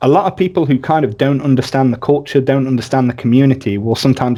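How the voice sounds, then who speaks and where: Speaking at a very fast pace, a man has a medium pitch and a dark, mellow tone. His pitch variation is ordinary. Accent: English. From rural England. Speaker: podcast host. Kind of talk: casual interview chat.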